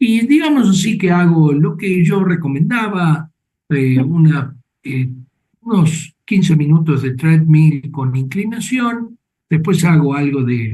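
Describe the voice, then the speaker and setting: Lively intonation and a dark, mellow tone at a very slow pace, with audible room echo. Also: man, fairly high pitch for a man. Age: 70s. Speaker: doctor and show host. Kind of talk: interview.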